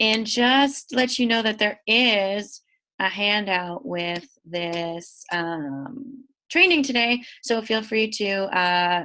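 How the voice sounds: A woman speaks slowly at medium pitch, her nasal voice bright and sharp in tone with ordinary pitch variation.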